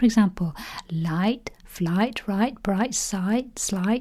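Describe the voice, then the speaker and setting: Speaking at a very slow pace, a woman sounds somewhat breathy, with a dark, mellow tone, medium pitch and ordinary pitch variation. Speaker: spelling teacher. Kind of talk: educational tutorial to camera.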